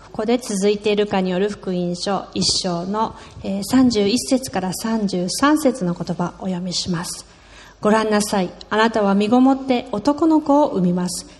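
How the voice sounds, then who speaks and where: Speaking at a fairly slow pace, a woman uses an ordinary speaking voice with ordinary pitch variation. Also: medium pitch for a woman. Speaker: sermon interpreter. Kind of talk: sermon. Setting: church with congregation.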